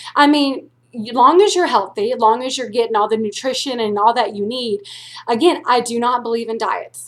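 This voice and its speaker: A woman talks at a high pitch and a fairly quick pace. Her pitch varies in an ordinary way. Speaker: weight loss vlogger. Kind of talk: personal vlog. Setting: at home, quiet. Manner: blunt, intimidating tone.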